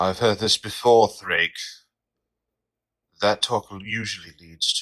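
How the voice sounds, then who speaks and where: On a very clean recording with a silent background, a man does a put-on character voice at a fairly low pitch and a fairly slow pace. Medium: audio drama. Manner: cold, menacing.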